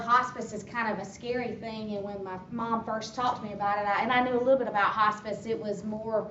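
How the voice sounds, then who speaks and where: Fairly even intonation in an American accent at a fairly quick pace, with noticeable background noise and audible room echo. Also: woman. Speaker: hospice worker. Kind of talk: informational talk. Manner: loud.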